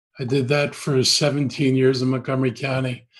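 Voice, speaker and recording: A somewhat breathy man with an American accent, medium pitch and a fairly quick pace. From Washington D.C. area / Maryland, US. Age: 70s. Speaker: politician. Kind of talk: interview.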